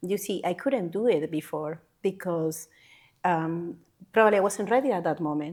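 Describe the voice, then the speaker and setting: A woman with a Panamanian accent, fairly low in pitch, at a moderate pace with ordinary pitch variation, on a very clean recording with a silent background. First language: Spanish. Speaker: healthcare worker. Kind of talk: interview answer.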